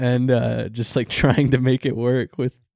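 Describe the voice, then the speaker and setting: A man's medium-pitched voice, dark and mellow with vocal fry, at a fairly slow pace in a dry, close sound with no echo. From rural farm town. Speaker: podcast host. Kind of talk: casual chat.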